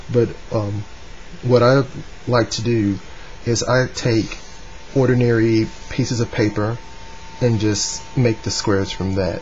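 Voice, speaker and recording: Over noticeable background noise, a man speaks with fairly even intonation and long, frequent pauses. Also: medium pitch for a man, fairly slow pace. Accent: Southern US. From North Carolina, US. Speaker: origami hobbyist. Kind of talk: tutorial talk to camera. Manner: hesitant, casual.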